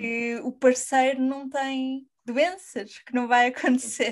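A woman's voice sits high in pitch, with a quiet background behind her. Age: 20s. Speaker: podcast host. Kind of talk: interview.

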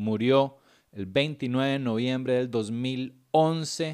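A man with a Costa Rican accent speaks with ordinary pitch variation. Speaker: comedian and podcast host. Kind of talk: casual monologue analyzing comedy. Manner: animated.

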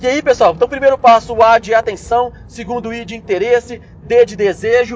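Against noticeable background noise, a man with an extremely high pitch speaks at a moderate pace, his intonation fairly even and his loudness swinging widely. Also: hardly any pauses. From Brazil, Belo Horizonte. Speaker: business management podcaster. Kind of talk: solo instructional podcast. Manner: casual, conversational with frequent fillers and repetitions.

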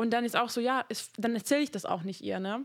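In an ordinary speaking voice, a woman talks at a fairly quick pace. Her pitch variation is ordinary. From Hungary. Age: 20s. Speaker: podcast host. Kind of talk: casual chat.

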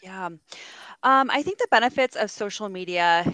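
A woman with a West Coast US accent has a bright, sharp tone, captured in a very clean recording with a silent background and a dry, close sound with no echo. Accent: General American (West Coast). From California, US (San Diego). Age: 40s. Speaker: youth services director and social media influencer. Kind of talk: casual interview chat.

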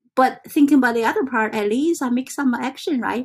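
At a fairly quick pace, a woman with a non-native accent speaks high in pitch. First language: not English. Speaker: self-help vlogger. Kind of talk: casual vlog monologue. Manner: halting.

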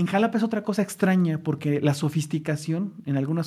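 On a very clean recording with a silent background, a man talks at a fairly quick pace in a normal speaking voice. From Mexico City, Mexico. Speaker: social science researcher. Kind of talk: casual conversation.

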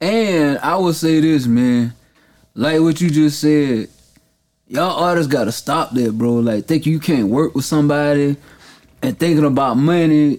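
Speaking in a normal speaking voice, a man keeps a moderate pace and very even loudness, his fairly high pitch varying in an ordinary way. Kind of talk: casual chat.

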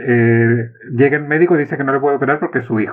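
A man is speaking here. His voice sits fairly high in pitch. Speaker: podcast host. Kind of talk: interview.

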